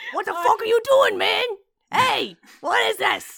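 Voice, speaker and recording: A put-on character voice at an extremely high pitch comes at a moderate pace. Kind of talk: tough street talk. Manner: irritated, aggressive.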